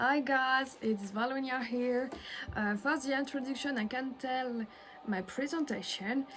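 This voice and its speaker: Over noticeable background noise, a high-pitched woman speaks in a French accent at a fairly slow pace with fairly even intonation. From France. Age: 20s. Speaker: illustrator. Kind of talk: self-introduction monologue. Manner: halting, many hesitations.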